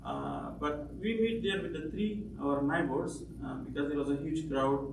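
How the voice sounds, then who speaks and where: At a fairly slow pace and with hardly any pauses, the speech comes through noticeable background noise and audible room echo. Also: man. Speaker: refugee. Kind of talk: testimony. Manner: halting.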